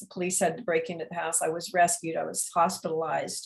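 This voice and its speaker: A woman speaks in a somewhat breathy voice. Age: 70s. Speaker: memoir author. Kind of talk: interview. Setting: video call. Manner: halting.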